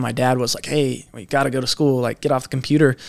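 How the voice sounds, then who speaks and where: A man speeds along fairly quickly, his medium-pitched voice monotone and flat in intonation. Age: 20s. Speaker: young entrepreneur. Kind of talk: podcast interview. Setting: in Las Vegas.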